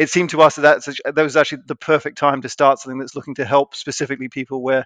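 Speaking at a very fast pace, this man has a medium pitch, a monotone, flat intonation and a dry, close sound with no echo. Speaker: startup co-founder. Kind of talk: casual interview chat. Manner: hesitant, fillers.

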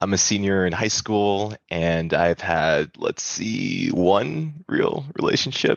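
A man with an American accent talks very slowly. His pitch sits fairly low and varies in an ordinary way. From Wisconsin. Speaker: storyteller. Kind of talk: storytelling performance.

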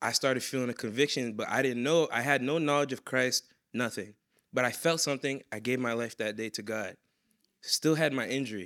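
Bright and sharp in tone, this voice carries an American accent in a very clean recording with a silent background. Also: man. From Boston, Massachusetts. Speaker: security guard. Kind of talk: testimony. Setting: stage with audience.

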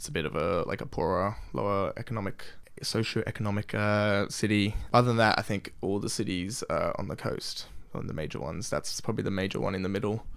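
In an Australian accent, a man talks at a fairly quick pace with a fairly low pitch and ordinary pitch variation. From Australia, Sydney. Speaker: exchange student. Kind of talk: casual chat.

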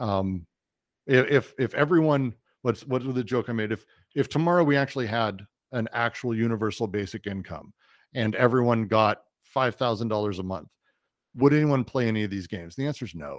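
A man with an American accent speaks in an ordinary speaking voice at a medium pitch with ordinary pitch variation, recorded very cleanly against a silent background with a dry, close sound and no echo. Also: fairly quick pace. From Colorado, US. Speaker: tech company CEO, game and VR producer. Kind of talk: interview.

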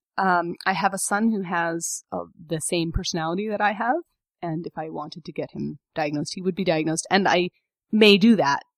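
This woman has a fairly low pitch and an ordinary speaking voice, talking at a fairly quick pace with fairly even intonation. The sound is dry and close, with no echo. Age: 30s. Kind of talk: casual interview conversation.

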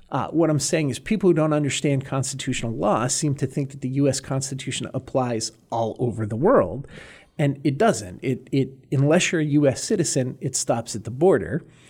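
In a very clean recording with a silent background, a man with an American accent speaks at a fairly quick pace in a somewhat breathy, fairly high voice with ordinary pitch variation. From Massachusetts, north of Boston. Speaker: former immigration judge, lawyer. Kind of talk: interview.

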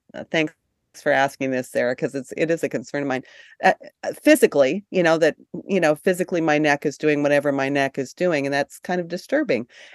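Recorded dry and close with no echo, a woman speaks over a quiet background. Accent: American. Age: 60s. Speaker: book publisher. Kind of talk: casual interview. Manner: halting.

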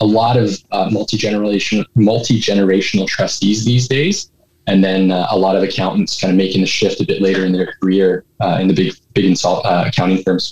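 A man with a Canadian accent speaks in a normal speaking voice at a fairly low pitch. His pace is fairly quick and his loudness very even. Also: fairly even intonation. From Edmonton, Alberta, Canada. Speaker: licensed insolvency trustee. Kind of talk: interview.

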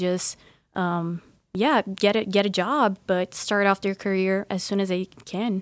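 A woman with a Portuguese accent at a medium pitch and a fairly slow pace, in a dry, close sound with no echo on a very clean recording with a silent background. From Brazil. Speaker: university student. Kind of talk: interview.

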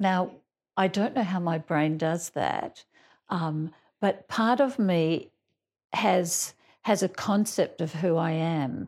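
A woman with an Australian accent speaks at a fairly low pitch, her intonation lively. The recording is very clean, with a silent background. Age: 60s. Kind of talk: group lunch conversation.

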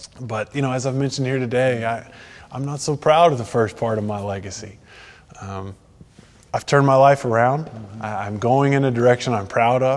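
A man with a Texan accent, medium pitch, ordinary pitch variation and a moderate pace. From Texas. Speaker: golf association executive. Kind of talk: faith testimony interview.

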